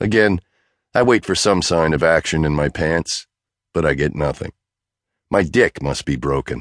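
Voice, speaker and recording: A man's very deep, low voice shows vocal fry and lively intonation, broken by long, frequent pauses. The sound is dry and close with no echo. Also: moderate pace. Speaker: audiobook narrator. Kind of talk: dramatic first-person audiobook narration. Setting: studio. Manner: brash, cocky, swaggering.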